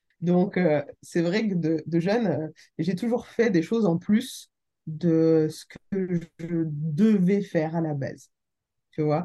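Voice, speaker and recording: This woman's fairly low pitch and dark, mellow tone come at a very slow pace. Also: ordinary pitch variation. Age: 30s. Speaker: real estate investor and business angel. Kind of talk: casual interview. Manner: animated.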